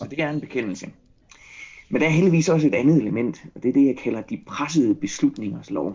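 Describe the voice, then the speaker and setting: With lively intonation and a fairly high voice, a man talks at a fairly quick pace. His delivery carries vocal fry and big swings in loudness. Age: 40s. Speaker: psychologist. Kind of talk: casual chat.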